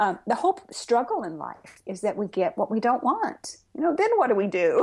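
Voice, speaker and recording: Talking at a fairly quick pace, a woman shows very wide pitch swings and big swings in loudness. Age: 60s. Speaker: Zen Buddhist priest and author. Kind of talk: interview. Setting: podcast interview. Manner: conversational with frequent fillers.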